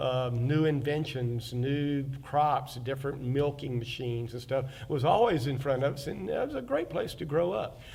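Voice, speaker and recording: A man with an Alabama accent, fairly high in pitch and somewhat breathy, at a moderate pace with hardly any pauses, fairly even intonation and audible room echo. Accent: Southern US (Alabama). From US South, Fairhope, Alabama. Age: 60s. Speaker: oral history interviewee, local artist and reenactor. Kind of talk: oral history interview. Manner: halting, many fillers.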